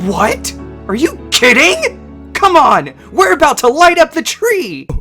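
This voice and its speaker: Over clear background music, a cartoonish character voice moves at a fairly slow pace with a fairly high pitch. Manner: loud, brash.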